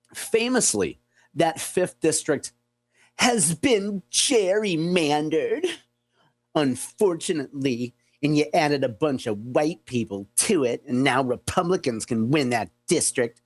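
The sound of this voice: Using a put-on character voice, the speaker sounds whiny, with a whiny tone at a middle pitch and a fairly slow pace.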